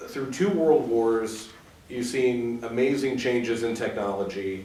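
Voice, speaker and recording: Noticeable background noise is present. A man with a medium pitch speaks at a fairly slow pace. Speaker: interviewer. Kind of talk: interview questions.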